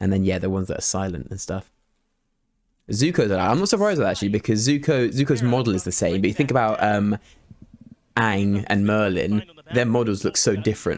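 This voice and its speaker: Speaking at a very fast pace with long, frequent pauses, a man uses a fairly low pitch, ordinary pitch variation and an animated tone. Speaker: streamer commentating esports. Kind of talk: casual co-stream commentary. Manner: fast, words run together.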